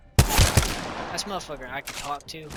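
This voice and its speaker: A man with an American accent at a fairly slow pace, with music in the background. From Oklahoma. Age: 20s. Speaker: vlogger. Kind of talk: casual rant. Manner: halting, stumbling.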